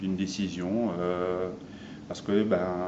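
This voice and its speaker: A man's fairly low voice carries audible echo from the room. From France. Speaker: interviewee, son of Armenian immigrants. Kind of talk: interview. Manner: halting.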